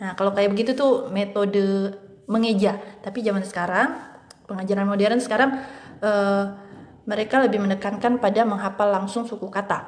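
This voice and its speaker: Her intonation fairly even, a woman talks rather briskly. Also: medium pitch for a woman. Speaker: English and Mandarin tutor. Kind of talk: educational tutorial talk.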